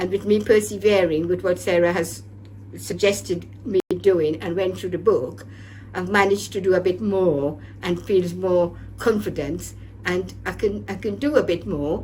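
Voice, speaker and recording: Speech at a moderate pace is heard with noticeable noise in the background. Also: woman. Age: 70s. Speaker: programme participant. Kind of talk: testimony. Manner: halting.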